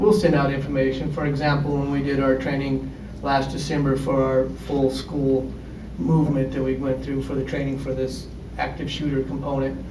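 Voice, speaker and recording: A man speaks fairly quickly, his voice carrying audible room echo alongside noticeable background noise. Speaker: high school principal. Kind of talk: panel discussion.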